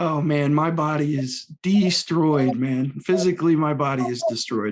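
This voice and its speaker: An unremarkable speaking voice from a man, fairly high in pitch, at a fairly slow pace with ordinary pitch variation. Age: 30s. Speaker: podcast host. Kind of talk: casual chat.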